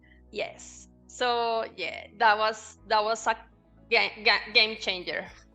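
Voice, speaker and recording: Music plays behind a woman who speaks very slowly with a Spanish accent. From Colombia. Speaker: banking consultant. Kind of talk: interview answer.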